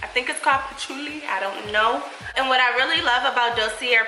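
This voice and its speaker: With noticeable background noise, a speaker with an American accent talks at a fairly quick pace with ordinary pitch variation. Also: woman. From Buffalo, New York. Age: 20s. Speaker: beauty YouTuber. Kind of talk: sponsored product review.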